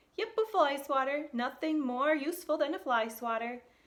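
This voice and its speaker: A woman's put-on character voice, high-pitched, at a moderate pace. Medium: read story.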